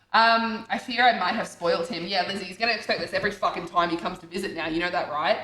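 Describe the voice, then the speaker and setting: A woman at medium pitch, talking at a very fast pace with hardly any pauses, ordinary pitch variation, big swings in loudness and noticeable background noise. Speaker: streamer. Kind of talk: casual chat.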